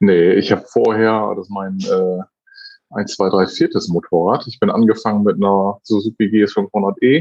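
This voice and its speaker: At a fairly slow pace, a man with an ordinary speaking voice talks in a fairly low pitch with fairly even intonation. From northern Germany, North Sea coast near Wilhelmshaven. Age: 30s. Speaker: motorcyclist and father. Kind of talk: casual chat.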